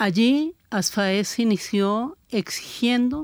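The recording is very clean, with a silent background and a dry, close sound free of echo. A woman speaks with lively intonation. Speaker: victims' family advocate. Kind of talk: radio panel discussion.

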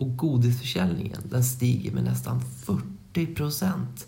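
A man speaks in a room with audible echo. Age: 30s. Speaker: educational podcast co-host. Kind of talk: educational explainer chat.

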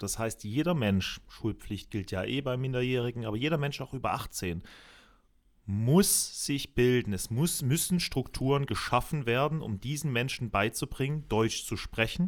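This is an ordinary speaking voice from a man at medium pitch. He talks at a moderate pace with lively intonation. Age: 20s. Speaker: local youth party chair, sales rep. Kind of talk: interview conversation.

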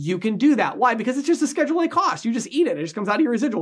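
The recording is very clean with a silent background. A man speaks very fast, his pitch swinging very widely. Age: 30s. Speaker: sales trainer / video host. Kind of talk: sponsored educational monologue. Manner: casual, filler-heavy.

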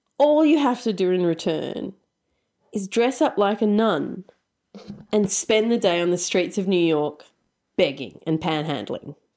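A woman's medium-pitched, dark, mellow voice in a strong Australian accent, with very wide pitch swings, a fairly slow pace and long, frequent pauses, in a very clean recording with a silent background. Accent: broad Australian. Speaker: podcast host and producer. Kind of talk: casual storytelling chat.

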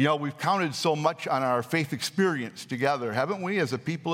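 A man with a normal speaking voice and fairly high pitch speaks with lively intonation in a very clean recording with a silent background. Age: 60s. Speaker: pastor. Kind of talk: sermon.

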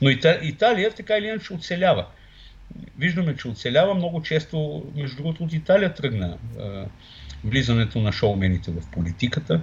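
Very wide pitch swings mark speech delivered at a fairly quick pace. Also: man, fairly high pitch for a man. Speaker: political scientist. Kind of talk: political interview. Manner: hesitant, many fillers.

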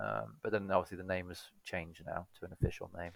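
A man talks at a fairly quick pace in a dry, close recording with no echo, very clean and with a silent background. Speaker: podcast co-host. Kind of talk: casual chat. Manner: weary, low-energy.

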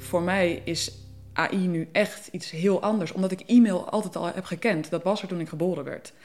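Speaking at a moderate pace with fairly even intonation, a woman has a normal speaking voice and a fairly low pitch. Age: 20s. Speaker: policy researcher, philosopher. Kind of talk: podcast interview, conversation.

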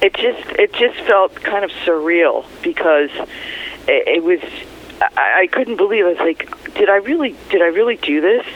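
Speech moves at a moderate pace against noticeable background noise. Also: woman. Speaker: former radio news reporter, author. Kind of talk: interview. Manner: laughs easily.

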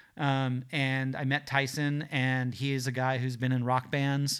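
The voice belongs to a man. It falls in the middle of the pitch range. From Los Angeles South Bay, California. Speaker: crime fiction writer and rock drummer. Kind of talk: casual interview. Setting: in person after a bookstore reading. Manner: halting, many fillers.

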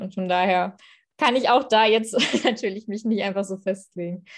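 A woman with a medium pitch and fairly even intonation talks over a quiet background. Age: 20s. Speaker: politician. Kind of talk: interview. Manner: hesitant, many fillers.

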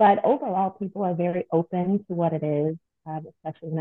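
With an American accent, a woman in an unremarkable speaking voice talks at a fairly quick pace, her pitch fairly low and her intonation fairly even. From Long Beach, California. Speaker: postpartum doula. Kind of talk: casual interview chat.

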